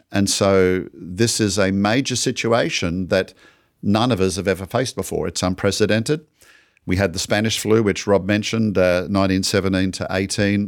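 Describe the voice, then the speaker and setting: Moderately paced, a man with an ordinary speaking voice talks at a fairly low pitch and fairly even intonation on a very clean recording with a silent background. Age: 60s. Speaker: ministry podcast host. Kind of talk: casual chat.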